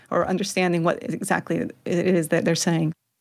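A woman's fairly low voice with vocal fry, on a very clean recording with a silent background. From Spain, moved to Georgia US around age 11. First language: Spanish. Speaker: Spanish language professor. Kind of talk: interview.

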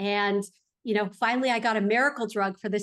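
Over a quiet background, a woman with a Californian accent speaks in an animated tone at a fairly high pitch. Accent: American, Californian. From Los Angeles, California. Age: 40s. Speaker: real estate investor. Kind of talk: interview.

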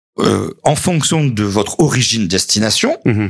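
A man speaks at a fairly slow pace with lively intonation. He has an unremarkable speaking voice. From southern France, Montpellier area. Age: 50s. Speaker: local politician, mayor. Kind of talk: radio interview.

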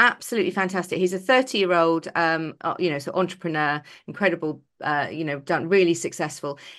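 Against a quiet background, a woman speaks with an English accent. Her fairly low voice moves at a very fast pace. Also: ordinary pitch variation. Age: 50s. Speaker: podcast co-host. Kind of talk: casual chat.

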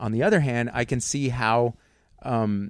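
A man with an American accent talks in a plain, everyday voice at a medium pitch with ordinary pitch variation. The recording is very clean, with a silent background. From Texas, near San Antonio. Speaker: comedian. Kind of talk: casual chat. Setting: home studio.

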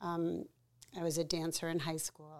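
A woman with an unremarkable speaking voice and fairly low pitch speaks at a moderate pace in a very clean recording with a silent background. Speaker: artist and photographer. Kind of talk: interview, life story.

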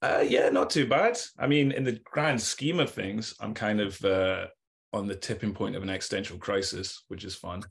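Fairly low-pitched and somewhat breathy, a man talks at a moderate pace with lively intonation. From Scotland. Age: late 30s. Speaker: clothing brand owner and artist. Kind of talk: casual interview chat. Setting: video call.

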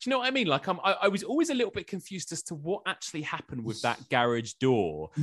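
A man with an English accent talks at a very fast pace in a high pitch, his pitch swinging very widely with hardly any pauses, in a dry, close sound with no echo. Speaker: podcaster and journalist. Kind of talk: casual chat.

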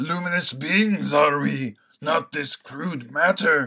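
The pace is fairly slow as a put-on character voice is performed. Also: man, fairly high pitch for a man. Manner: wise, solemn.

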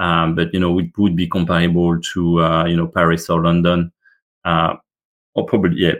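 Speaking at a moderate pace, a man has a very deep, low voice. He talks with a French accent. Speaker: business executive. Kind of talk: interview. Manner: hesitant, many fillers.

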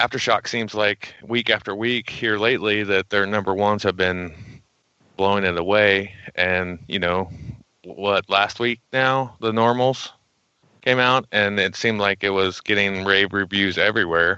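A man with an ordinary speaking voice talks at a moderate pace in a fairly low pitch, his intonation fairly even and his loudness very even. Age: 40s. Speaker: podcast co-host. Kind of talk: casual chat.

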